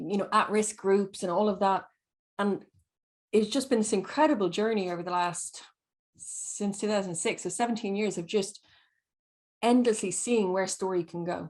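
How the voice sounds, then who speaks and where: A woman with a medium pitch speaks at a moderate pace with fairly even intonation and long, frequent pauses against a quiet background. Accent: Irish. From Ireland. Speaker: storyteller. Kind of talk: panel discussion.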